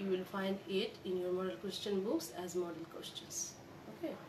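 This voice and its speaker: Noticeable background noise fills the recording. Over it, a woman is talking. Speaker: college lecturer. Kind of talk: lecture. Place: home room. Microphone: phone near.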